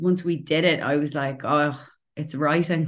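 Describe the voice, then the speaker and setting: In a Dublin accent, a woman speaks with a very deep, low pitch and monotone, flat intonation. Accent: Dublin Irish. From Ireland, Dublin. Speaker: playwright and actor. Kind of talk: casual interview chat.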